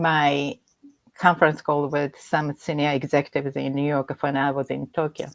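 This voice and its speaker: The recording has a dry, close sound with no echo. A woman with a Japanese accent speaks at a moderate pace in a very deep, low pitch. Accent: Japanese accent, self-described. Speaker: executive coach. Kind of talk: interview conversation. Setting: livestream video call.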